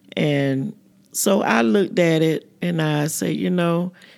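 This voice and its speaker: On a very clean recording with a silent background, a woman speaks in a very deep, low pitch. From US South, Florida (Fort Pierce). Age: 60s. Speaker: community elder. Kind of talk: casual group conversation.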